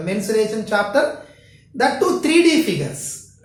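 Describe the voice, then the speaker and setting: Against noticeable background noise and audible room echo, a woman speaks at a fairly high pitch with very wide pitch swings. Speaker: school math teacher. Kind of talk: lecture. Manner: slow; halting.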